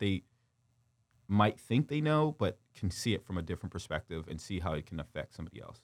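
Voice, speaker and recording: On a very clean recording with a silent background, a man with a plain, everyday voice speaks at a fairly quick pace in a fairly low pitch. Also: dry, close sound with no echo. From Windsor, Ontario, Canada. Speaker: former pro football player and youth coach. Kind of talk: interview. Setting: studio.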